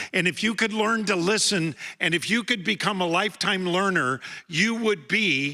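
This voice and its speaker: In a very clean recording with a silent background, a man projects a raised, high-pitched voice with a bright, sharp tone, a moderate pace and ordinary pitch variation. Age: 70s. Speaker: graduation speaker. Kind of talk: commencement speech. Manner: formal.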